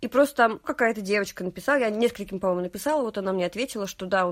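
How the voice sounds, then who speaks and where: A woman in a plain, everyday voice talks at a medium pitch with ordinary pitch variation on a very clean recording with a silent background. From Russia, Nizhny Novgorod region. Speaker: podcaster and theatre worker. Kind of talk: casual chat.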